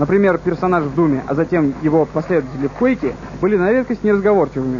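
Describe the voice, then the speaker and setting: A high-pitched man rattles along at a very fast pace with lively intonation, noticeable background noise around him. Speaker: TV presenter narrating a video game review. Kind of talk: TV show voice-over game review.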